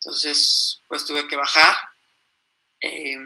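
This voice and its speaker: A woman's bright, sharp tone with a Mexican accent. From Mexico. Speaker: mountaineer. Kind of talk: interview. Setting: live stream.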